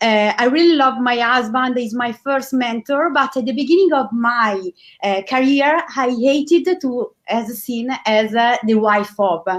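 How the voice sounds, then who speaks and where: A woman with an Italian accent, high-pitched, with ordinary pitch variation, a fairly slow pace and hardly any pauses. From Italy. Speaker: online business host and interviewer. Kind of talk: interview. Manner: halting, many fillers.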